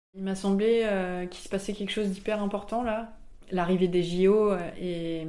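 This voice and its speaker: A woman's dark, mellow voice at medium pitch, fairly even in intonation, with audible room echo. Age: 20s. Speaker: comic book author. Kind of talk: interview. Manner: hesitant, many fillers.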